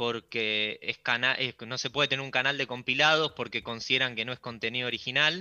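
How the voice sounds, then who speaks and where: Medium pitch and a moderate pace from a man in a plain, everyday voice, with ordinary pitch variation. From Argentina, Buenos Aires. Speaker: YouTube creator. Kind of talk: radio interview.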